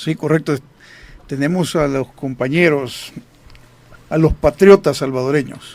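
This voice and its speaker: A man talks at a fairly slow pace in a fairly high voice. His intonation stays fairly even, broken by long, frequent pauses. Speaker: radio host, retired army officer. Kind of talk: radio talk show.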